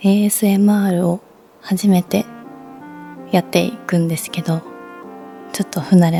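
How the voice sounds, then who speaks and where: A soft-spoken woman talks at a fairly low pitch and moderate pace, with ordinary pitch variation. Music plays in the background. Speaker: former idol. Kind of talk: ASMR chat. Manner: natural speaking voice, soft.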